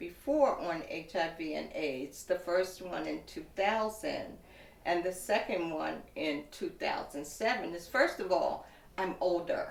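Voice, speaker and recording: A woman talks at a fairly slow pace, and audible room echo surrounds her voice. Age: 60s. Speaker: woman living with HIV sharing her experience. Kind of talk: testimony.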